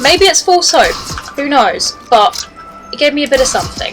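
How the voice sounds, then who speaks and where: A woman with a British accent speaks at a fairly quick pace, her pitch swinging very widely, with music in the background. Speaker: gaming streamer. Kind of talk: gameplay commentary. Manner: animated.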